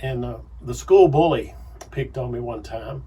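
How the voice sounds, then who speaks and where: A man with a Southern US accent. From Arkansas, US South. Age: 60s. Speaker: pastor. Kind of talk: radio interview.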